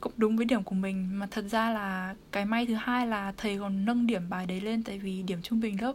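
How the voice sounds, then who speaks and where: Here a woman talks at a moderate pace. Her voice is somewhat breathy, her intonation fairly even. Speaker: university student. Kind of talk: casual chat.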